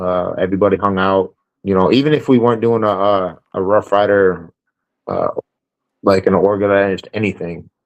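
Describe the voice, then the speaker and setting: A man with a northern US accent speaks at a fairly low pitch. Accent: northern US, noticeable. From Chicago. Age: 40s. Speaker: motorcycle club member. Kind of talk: interview. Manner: casual, hesitant with fillers.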